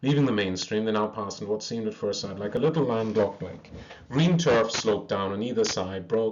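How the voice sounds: The speaker reads in a natural reading voice, the intonation rising and falling in a lively way.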